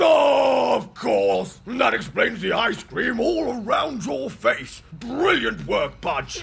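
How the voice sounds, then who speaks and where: Using a put-on character voice, a man speaks at an extremely high pitch. He talks very slowly. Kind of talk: military bark. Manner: pompous, blustering.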